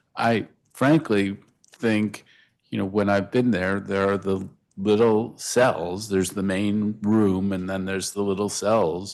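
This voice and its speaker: A man's unremarkable speaking voice, fairly low in pitch, at a fairly slow pace with fairly even intonation, over a quiet background. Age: 60s. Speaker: council member at hearing. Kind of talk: oversight hearing questioning. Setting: council hearing room.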